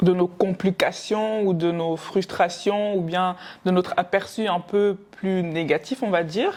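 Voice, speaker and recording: Very slow, fairly even speech from a woman at a medium pitch. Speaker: podcast co-host. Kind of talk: casual chat.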